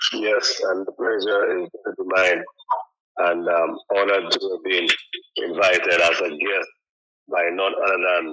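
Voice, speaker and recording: This man has a Trinidadian accent and talks at a fairly slow pace. His speech has long, frequent pauses. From Saint Lucia. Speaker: guest. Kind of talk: radio interview. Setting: radio studio.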